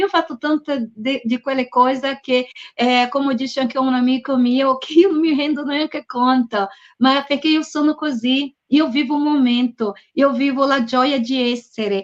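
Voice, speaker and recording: A woman with a Brazilian accent speaks at a high pitch and a moderate pace. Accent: Brazilian accent in Italian. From Brazil (Bahia). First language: Portuguese (speaking Italian). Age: middle-aged. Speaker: author and publisher. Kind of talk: book presentation interview. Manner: animated; halting.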